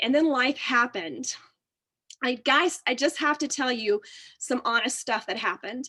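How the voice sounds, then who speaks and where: With a Texan accent, a woman projects a raised, high-pitched voice in a bright, sharp, animated tone, keeping ordinary pitch variation at a moderate pace. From Texas. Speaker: physical therapist. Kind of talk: testimony.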